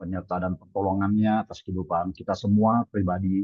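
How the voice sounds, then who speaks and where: Monotone and flat in intonation, a man speaks at a moderate pace with a fairly low pitch. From Indonesia, Balikpapan, East Kalimantan. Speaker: pastor. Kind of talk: sermon. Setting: video call. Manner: halting.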